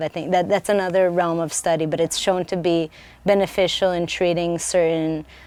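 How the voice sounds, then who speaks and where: Speaking with an Israeli accent, a woman moves at a fairly quick pace in a fairly low pitch with monotone, flat intonation. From Israel (Jerusalem). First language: Hebrew. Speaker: researcher. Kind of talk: lecture Q&A. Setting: bookstore event with audience. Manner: halting.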